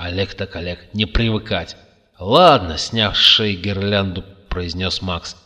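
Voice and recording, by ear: The text is read aloud in a natural voice.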